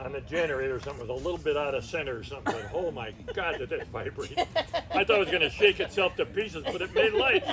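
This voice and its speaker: Very fast speech from a man with an American accent, set against noticeable background noise. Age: 90s. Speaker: Korean War veteran telling life story. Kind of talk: family interview, casual storytelling.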